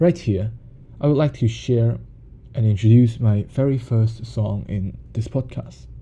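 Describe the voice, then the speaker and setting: A man with a Cantonese accent, speaking at a fairly slow pace. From Hong Kong. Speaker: music podcaster. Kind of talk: podcast monologue.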